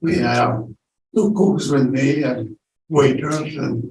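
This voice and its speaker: At a very slow pace, a man with an Italian accent talks in a fairly high pitch with vocal fry, and audible room echo is present. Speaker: wartime childhood survivor. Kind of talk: casual chat. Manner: halting.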